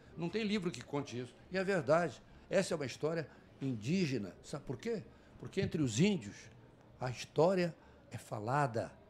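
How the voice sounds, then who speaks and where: This man's voice is high-pitched and moves in very wide pitch swings. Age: 70s. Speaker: psychoanalyst and poet. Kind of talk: interview. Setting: studio at a book fair.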